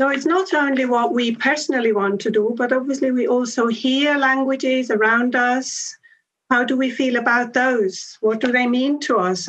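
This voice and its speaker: A woman's high-pitched voice with a Swiss German accent and ordinary pitch variation. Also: very even loudness. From Switzerland. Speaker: language education academic. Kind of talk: conference talk. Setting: conference session with audience. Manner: hesitant, with frequent fillers.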